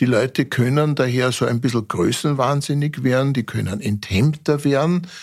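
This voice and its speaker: Heard in a very clean recording with a silent background, a man uses an unremarkable speaking voice, medium in pitch, at a moderate pace, with very even loudness, ordinary pitch variation and hardly any pauses. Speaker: forensic pathologist. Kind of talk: interview.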